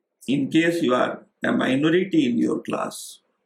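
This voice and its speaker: A man's fairly high voice at a fairly slow pace, with vocal fry and very wide pitch swings. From rural India. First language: Indian regional language. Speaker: professor. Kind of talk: lecture. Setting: online class. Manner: hesitant fillers.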